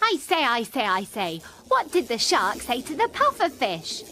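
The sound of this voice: At a moderate pace, a woman in a put-on character voice sounds bright and sharp, fairly high in pitch with very wide swings, faint music playing in the background.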